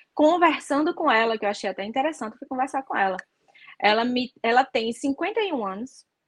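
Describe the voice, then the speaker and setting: In a dry, close recording with no echo, a woman with a Natal accent speaks at a moderate pace with high pitch, lively intonation and big swings in loudness. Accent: northeastern Brazilian (Natal). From Brazil, Natal (Northeast). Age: 30s. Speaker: flight attendant. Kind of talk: interview guest, casual chat. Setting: live stream video call.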